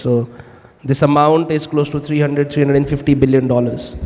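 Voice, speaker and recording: A fairly high-pitched man speaks in a flat, monotone way against noticeable background noise. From India, Himachal Pradesh. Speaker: startup founder. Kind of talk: panel discussion.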